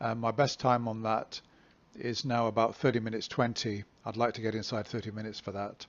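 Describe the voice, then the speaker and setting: Speaking with an English accent at a fairly quick pace, a man keeps his medium pitch in a monotone, flat intonation. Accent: English (England). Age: 60s. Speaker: amateur runner vlogger. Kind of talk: casual vlog monologue. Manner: hesitant, many fillers.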